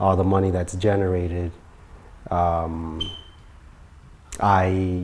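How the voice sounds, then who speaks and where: The man's pitch is very deep and low, his intonation monotone and flat. He speaks at a very slow pace. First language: not English. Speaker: music producer and royalty specialist. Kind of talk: casual interview.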